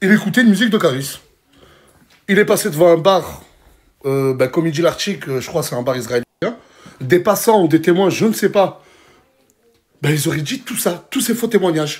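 A man speaks at a moderate pace with lively intonation and long, frequent pauses. The background is quiet. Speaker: social media influencer. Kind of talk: casual vlog rant commentary. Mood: indignant, incredulous. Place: home room. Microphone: phone near.

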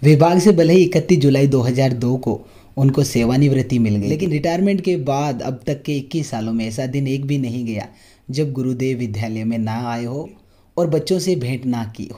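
At a moderate pace, a man with a medium pitch and a dark, mellow tone speaks with ordinary pitch variation and big swings in loudness. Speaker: interviewer. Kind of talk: video introduction narration.

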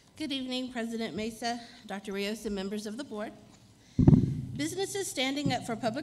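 Speaking at a fairly quick pace with lively intonation, a woman is heard over light background noise. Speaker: presenter. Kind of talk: formal announcement. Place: hall. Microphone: podium.

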